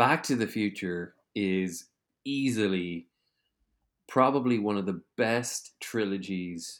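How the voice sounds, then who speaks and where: A man with an Irish accent speaks at a very slow pace in a fairly low voice with ordinary pitch variation, on a very clean recording with a silent background. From Ireland. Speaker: podcast host. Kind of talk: casual interview chat.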